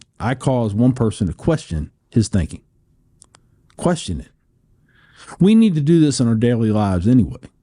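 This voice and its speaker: Dark and mellow, a man's medium-pitched voice carries an American accent. He talks at a fairly quick pace. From US Midwest, Cincinnati. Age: 50s. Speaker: war veteran. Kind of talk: interview conversation. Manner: repetitive, halting in places.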